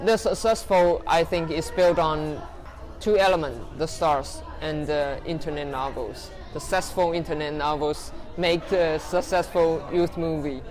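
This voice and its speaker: Someone speaks at a fairly slow pace in a Chinese accent, with noticeable background noise. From Taiwan. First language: Mandarin Chinese. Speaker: interviewee. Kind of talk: interview. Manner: halting.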